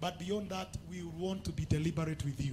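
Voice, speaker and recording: A man's ordinary speaking voice with fairly even intonation and a fairly high pitch. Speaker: church pastor making announcements. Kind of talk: church announcements and closing declarations. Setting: church service with congregation.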